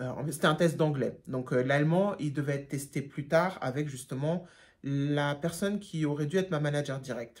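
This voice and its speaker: With a German accent, this woman has a very deep, low pitch and ordinary pitch variation. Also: moderate pace. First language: German (speaking French). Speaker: YouTuber, job seeker. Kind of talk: storytime vlog. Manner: casual, many hesitations.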